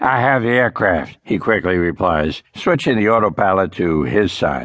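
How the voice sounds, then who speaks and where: Animated in tone, a man with a very deep, low pitch speaks with lively intonation. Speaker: audiobook narrator. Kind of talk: dramatic audiobook narration, second-person pilot memoir. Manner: urgent, tense, vividly dramatic; animated, voicing characters with smart-aleck crew banter.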